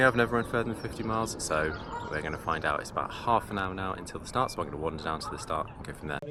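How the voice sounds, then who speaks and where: Over noticeable background noise, a man with an English accent mumbles at a very fast pace, his pitch swinging very widely. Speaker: amateur ultrarunner vlogger. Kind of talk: casual vlog. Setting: outdoors. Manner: mumbling.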